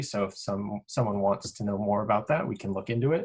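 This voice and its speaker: Against a quiet background, a man talks at a fairly low pitch with fairly even intonation. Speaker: grad school podcast co-host, sleep researcher; grad school podcast co-host. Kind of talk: tutorial. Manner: monotone. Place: home room. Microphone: video call.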